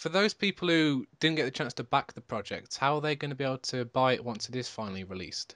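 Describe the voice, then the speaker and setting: A man with a British accent and a medium pitch rattles along at a very fast pace with lively intonation and hardly any pauses. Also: dry, close sound with no echo, quiet background. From Britain. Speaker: podcast host. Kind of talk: casual interview.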